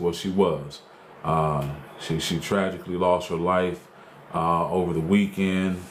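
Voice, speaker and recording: A man with a very deep, low voice talks at a moderate pace in a flat monotone, with audible room echo and noticeable background noise. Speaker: talk show host and truck driver. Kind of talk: casual livestream talk show. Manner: loud; hesitant, many fillers.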